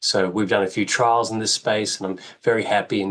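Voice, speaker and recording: A man talks at a very fast pace in an Australian accent. His intonation stays flat and monotone. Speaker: radiation oncologist. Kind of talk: interview.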